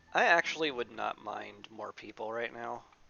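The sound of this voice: Bright, sharp tone with vocal fry, lively intonation and a moderate pace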